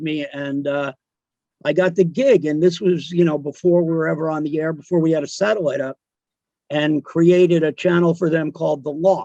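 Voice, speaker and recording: A man with a New Jersey accent has a dark, mellow tone and a fairly high pitch. He moves at a fairly quick pace with ordinary pitch variation. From New Jersey, South Amboy. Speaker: radio DJ. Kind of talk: casual chat. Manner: halting.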